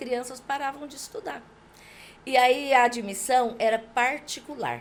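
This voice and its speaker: Her pitch high with ordinary variation, a woman talks at a moderate pace with big swings in loudness. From Brazil, interior of São Paulo state (Junqueirópolis). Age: 60s. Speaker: local politician. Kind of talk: podcast interview, life story.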